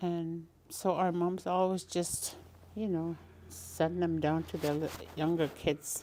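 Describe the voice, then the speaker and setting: Speaking at a very slow pace, a woman uses a fairly low, dark, mellow voice with flat, monotone intonation. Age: old. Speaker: elder and craftswoman. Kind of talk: casual interview.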